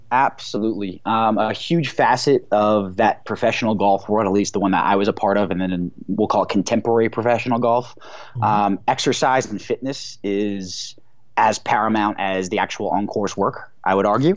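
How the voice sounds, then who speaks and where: This man has a fairly low pitch and ordinary pitch variation. He keeps a moderate pace with hardly any pauses. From New Jersey, New York City area. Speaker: cannabis accessory company co-founder, former pro golfer. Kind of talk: interview. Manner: filler-heavy, with hesitations.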